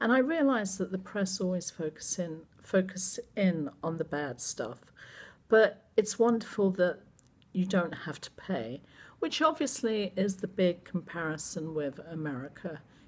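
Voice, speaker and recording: With an English accent, a woman speaks fairly slowly at medium pitch, somewhat breathy. Her intonation is lively. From England. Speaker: vlogger. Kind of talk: casual vlog monologue.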